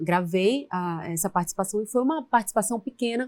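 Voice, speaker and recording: A woman with a medium pitch talks with lively intonation, the sound dry and close with no echo. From Maranhão, northeastern Brazil. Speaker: actress. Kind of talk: interview.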